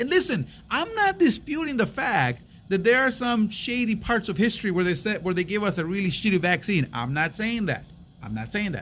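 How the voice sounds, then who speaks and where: An animated man with a high voice speaks at a fairly quick pace, his pitch swinging very widely. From US, Mexican-American. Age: 30s. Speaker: podcast co-host. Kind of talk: casual chat.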